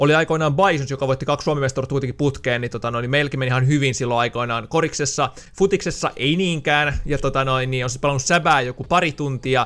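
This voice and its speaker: Very fast male speech with hardly any pauses, fairly even intonation and a fairly high pitch for a man. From Finland, Loimaa area; Finland. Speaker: gaming YouTuber; gaming youtuber. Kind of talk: casual Q&A video monologue. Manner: casual, many filler words. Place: home room. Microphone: studio mic.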